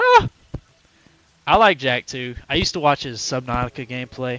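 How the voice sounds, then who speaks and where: Loud and at a moderate pace, a man speaks at a medium pitch. His pitch variation is ordinary, and the sound is dry and close with no echo. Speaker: gaming streamer. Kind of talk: casual live-stream chat. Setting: live stream.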